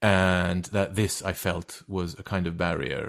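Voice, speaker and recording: With a Turkish accent, a man speaks at a very deep, low pitch in a flat monotone, on a very clean recording with a silent background. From Turkey. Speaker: actor and writer. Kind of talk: interview conversation. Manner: halting, with many fillers and repetitions.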